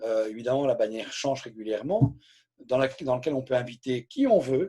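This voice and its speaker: Lively intonation from a man with a dark, mellow tone at a moderate pace. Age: 60s. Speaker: direct sales trainer. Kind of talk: live training session. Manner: hesitant, repeats words.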